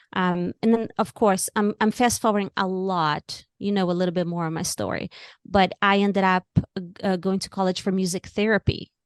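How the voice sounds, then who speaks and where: At a moderate pace, a woman of medium pitch with a Brazilian Portuguese accent talks with fairly even intonation, the sound dry and close with no echo and the background quiet. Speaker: author and music therapist. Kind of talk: interview.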